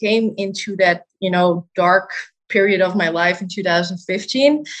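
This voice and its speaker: A woman with a Dutch accent speaks with ordinary pitch variation. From Netherlands, Amsterdam. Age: 20s. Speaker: dietitian. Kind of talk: interview.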